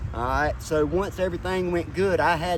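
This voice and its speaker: Speaking at a moderate pace, a man has a North Carolina accent. The recording has audible room echo and noticeable background noise. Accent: Southern US (North Carolina). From North Carolina, Rutherford County. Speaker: homeless person in recovery. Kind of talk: street interview.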